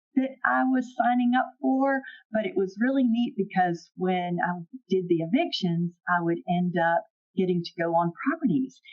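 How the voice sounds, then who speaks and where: A woman with a Southern US accent speaks at a fairly high pitch and a fairly slow pace. Her pitch swings very wide while her loudness stays very even. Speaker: property management executive. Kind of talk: podcast interview.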